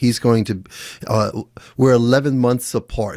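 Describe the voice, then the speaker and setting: Heard in a very clean recording with a silent background, a man with an unremarkable speaking voice talks at a moderate pace and medium pitch. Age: 60s. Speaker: podcast host and former jiu-jitsu instructor. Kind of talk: casual interview conversation.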